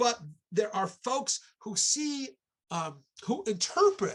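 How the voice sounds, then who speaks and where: The voice has an American accent. It belongs to a man. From New York, Long Island. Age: 60s. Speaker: archaeology professor. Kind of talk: online lecture talk. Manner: halting, with fillers.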